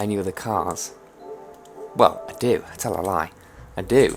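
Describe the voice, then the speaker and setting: Someone with a British accent speaks at a moderate pace against noticeable background noise. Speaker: gaming youtuber. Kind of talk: gameplay commentary.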